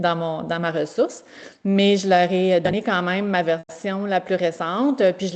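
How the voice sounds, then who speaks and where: A woman talks at a moderate pace in a medium pitch. Her intonation stays fairly even. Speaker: veterinary technician teacher. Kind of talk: presentation. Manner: halting.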